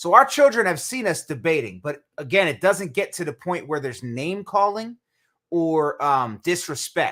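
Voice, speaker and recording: Loud and at a moderate pace, a man speaks in a high pitch with very wide pitch swings and a bright, sharp tone, recorded very cleanly against a silent background. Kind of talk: casual chat.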